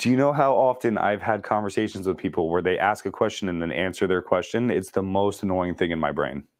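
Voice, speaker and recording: Barely pausing, a man races along at a very fast pace with a fairly low pitch, an animated tone and lively intonation. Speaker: real estate sales trainer. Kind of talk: training class.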